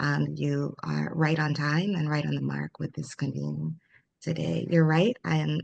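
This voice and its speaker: This is a woman with an American accent. She speaks at a moderate pace. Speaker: former trade official. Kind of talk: panel discussion.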